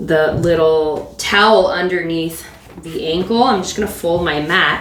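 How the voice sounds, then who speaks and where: A woman speaks in a room with audible echo, and noticeable background noise can be heard. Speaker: yoga and mobility instructor. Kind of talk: guided exercise class. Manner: instructive, rhythmic cueing.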